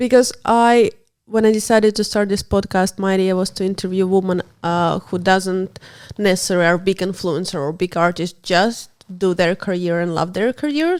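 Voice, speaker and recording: In a non-native accent, the speaker uses ordinary pitch variation at a moderate pace, on a very clean recording over a silent background. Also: woman, medium pitch for a woman. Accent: non-native English, self-described. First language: not English. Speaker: podcast host. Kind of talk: interview.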